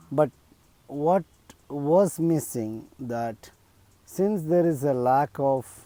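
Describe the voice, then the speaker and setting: In a Keralan accent, a man speaks very slowly in a fairly high-pitched, dark and mellow voice with ordinary pitch variation. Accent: Indian English (Malayali). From India, Kerala. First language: Malayalam. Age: 50s. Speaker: video blogger. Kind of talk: personal appeal monologue. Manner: hesitant, many fillers.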